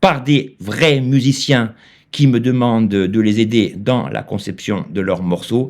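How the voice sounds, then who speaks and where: At a very slow pace, a man with a medium pitch speaks in a very clean recording against a silent background. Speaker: YouTuber teaching AI music tools. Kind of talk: tutorial. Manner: hesitant, many filler sounds.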